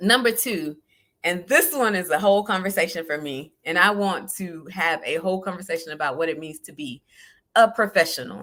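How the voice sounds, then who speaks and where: A woman with a Southern US accent talks fairly quickly in a bright, sharp tone at a fairly low pitch. Her intonation is lively, and her loudness swings widely. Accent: Southern US, country. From US South, South Georgia. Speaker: life coach. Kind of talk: solo live podcast talk. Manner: casual, conversational.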